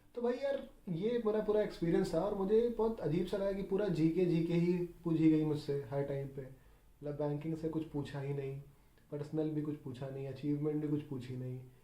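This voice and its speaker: In a room with audible echo, a man speaks at a moderate pace in a fairly high, dark, mellow voice with lively intonation. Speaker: bank exam candidate, YouTuber. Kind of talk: casual personal account. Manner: casual, mixes Hindi and English.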